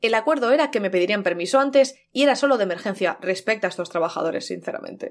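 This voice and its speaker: At a very fast pace, a woman speaks in an animated tone with lively intonation. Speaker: podcast co-host. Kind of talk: casual chat.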